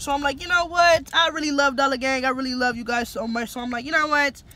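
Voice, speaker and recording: A woman speaks in a raised, projected voice at a fairly quick pace. Her pitch varies an ordinary amount, and the sound is dry with no echo. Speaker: vlogger. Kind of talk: casual vlog chat.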